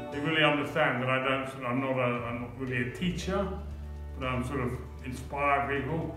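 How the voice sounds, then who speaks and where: Clear music plays behind a man who speaks at a moderate pace with ordinary pitch variation. Audible room echo colors the recording. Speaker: artist, stroke survivor with aphasia. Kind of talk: documentary interview answer. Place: hall. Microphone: camera far.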